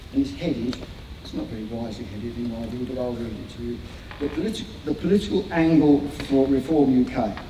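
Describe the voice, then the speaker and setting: A man's lively intonation amid audible room echo and noticeable background noise. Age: 60s. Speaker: motorcycling campaigner and guest speaker. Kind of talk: public talk to a meeting; reading bullet points aloud. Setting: event hall with live audience. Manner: halting, with repeated words.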